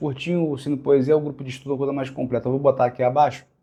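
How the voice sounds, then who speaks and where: A man delivers his words at a very fast pace with a fairly high pitch. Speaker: literature teacher. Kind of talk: lecture. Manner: halting.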